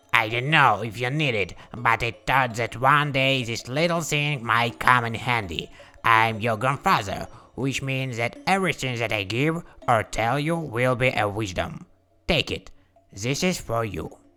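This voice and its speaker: Speaking at a moderate pace, a man uses a cartoonish character voice at medium pitch with ordinary pitch variation. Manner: warm, proud.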